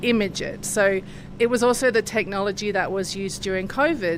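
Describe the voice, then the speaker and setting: A woman with an Australian accent talks at a medium pitch and a moderate pace with ordinary pitch variation, amid audible room echo and noticeable background noise. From Australia, Sydney. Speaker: research scientist. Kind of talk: interview. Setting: laboratory.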